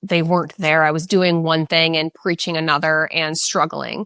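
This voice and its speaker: Recorded very cleanly against a silent background, a woman with an American accent speaks in a fairly low pitch, her tone bright and sharp and the sound dry and close with no echo. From Oregon, US Pacific Northwest. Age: 30s. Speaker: fitness trainer. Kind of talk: podcast interview. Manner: fast.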